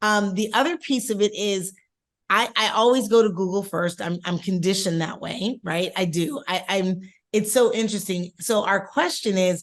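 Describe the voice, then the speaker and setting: This woman has an unremarkable speaking voice, with medium pitch, ordinary pitch variation and a moderate pace. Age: 50s. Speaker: podcast co-host. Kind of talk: casual chat.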